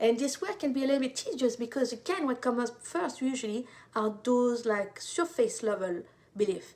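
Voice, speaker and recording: A woman speaks at a fairly quick pace with a high pitch and lively intonation. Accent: French. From France. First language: French. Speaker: intuitive life coach. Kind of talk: live stream talk.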